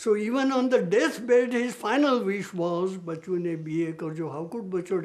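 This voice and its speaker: At a moderate pace, a man with a Gujarati accent talks with lively intonation. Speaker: mathematician. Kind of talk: interview reminiscence.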